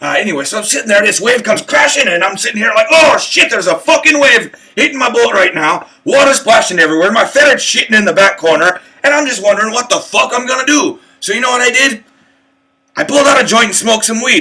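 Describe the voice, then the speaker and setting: Doing a put-on character voice, a man talks at a very fast pace with an extremely high pitch. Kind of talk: comic pirate voice. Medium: solo performance. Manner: rambling, crude.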